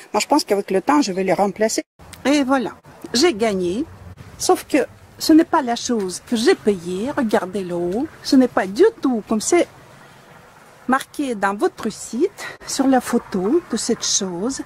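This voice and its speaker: The speech moves at a fairly slow pace with long, frequent pauses and very wide pitch swings. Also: woman, fairly high pitch for a woman. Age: 60s. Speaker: dissatisfied customer reviewing a product. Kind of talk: product complaint video. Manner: indignant.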